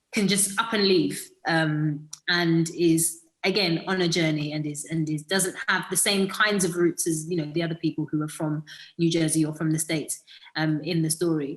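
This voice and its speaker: With a British accent, a woman with fairly low pitch talks at a moderate pace with fairly even intonation. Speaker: actress. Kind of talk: interview. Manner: hesitant, many fillers.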